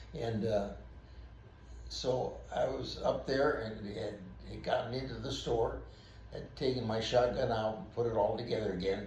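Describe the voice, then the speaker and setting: A man speaks with long, frequent pauses, his voice carrying audible room echo amid noticeable background noise. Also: moderate pace. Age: 80s+. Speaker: retired police officer. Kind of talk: storytelling. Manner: halting.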